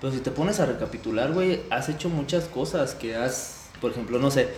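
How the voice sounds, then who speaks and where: Speaking at a moderate pace, a man with a fairly high pitch uses lively intonation amid noticeable background noise and audible room echo. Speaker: podcast co-host, psychology student. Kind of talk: casual chat.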